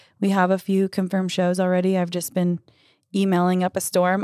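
A woman with an American accent talks at a fairly quick pace in a monotone, flat intonation. The recording is very clean, with a silent background. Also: dry, close sound with no echo. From Idaho, US. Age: 20s. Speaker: singer-songwriter. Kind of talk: casual chat.

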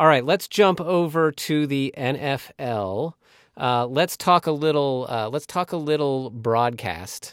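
This man has an ordinary speaking voice, fairly high in pitch with ordinary pitch variation, at a fairly slow pace. The sound is dry and close, with no echo. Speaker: sports podcast host. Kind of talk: casual sports chat.

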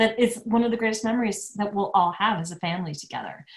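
A woman with an American accent speaks at a medium pitch in a somewhat breathy voice, with ordinary pitch variation. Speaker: business strategist and speaker. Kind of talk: casual interview chat.

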